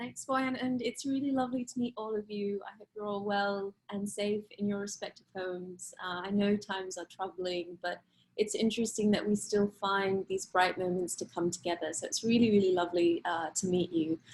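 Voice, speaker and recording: A somewhat breathy woman's voice at medium pitch, with ordinary pitch variation, a moderate pace, big swings in loudness and hardly any pauses. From Australia and Middle East. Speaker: human rights lawyer, think tank deputy director. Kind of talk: online panel talk. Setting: online video talk.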